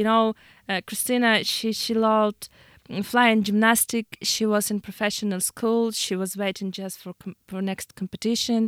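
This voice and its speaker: In a very clean recording with a silent background, a woman speaks with a Ukrainian accent. Her fairly high voice stays monotone, with flat intonation. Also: moderate pace, dry, close sound with no echo. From Ukraine. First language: Ukrainian or Russian. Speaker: war refugee, business owner. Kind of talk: radio interview. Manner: halting.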